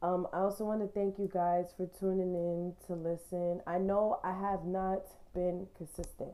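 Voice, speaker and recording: Monotone, flat intonation from a woman of medium pitch, dark and mellow in tone, at a moderate pace. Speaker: podcast host. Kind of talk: casual chat.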